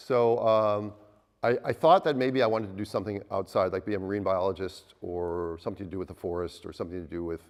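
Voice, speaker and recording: With an Upper Midwest accent, a man talks at a very fast pace. His pitch varies in an ordinary way over a quiet background. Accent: Upper Midwest American. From US Midwest, Minnesota. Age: 60s. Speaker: obstetrician. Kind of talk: talk to a live audience. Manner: halting, with repeated words.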